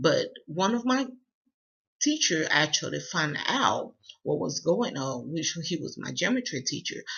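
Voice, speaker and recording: A speaker with a West African accent talks at a fairly slow pace. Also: man. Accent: West African accent, still noticeable. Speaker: university student. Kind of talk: personal presentation. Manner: halting, many fillers.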